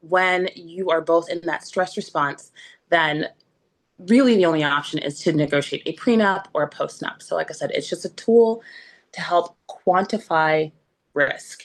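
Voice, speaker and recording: Against a quiet background, a woman with an unremarkable speaking voice talks at a medium pitch with lively intonation. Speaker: relationship coach, former divorce attorney. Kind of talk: talk to an online group.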